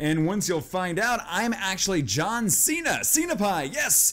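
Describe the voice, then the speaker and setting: The speaker is a man. His pitch swings very widely. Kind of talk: gameplay commentary.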